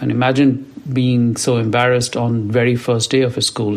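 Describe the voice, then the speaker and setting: Medium-pitched male speech at a moderate pace amid noticeable background noise. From India, rural village. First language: an Indian language; English is third. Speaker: podcast host, CEO and author. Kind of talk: personal storytelling monologue.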